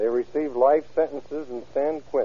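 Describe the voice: A man at medium pitch, with ordinary pitch variation and a moderate pace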